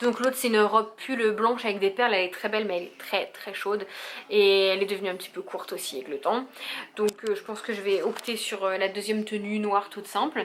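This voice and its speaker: A woman's medium-pitched voice at a very fast pace, fairly even in intonation, over noticeable background noise. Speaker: vlogger, young mother. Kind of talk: casual vlog. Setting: at home.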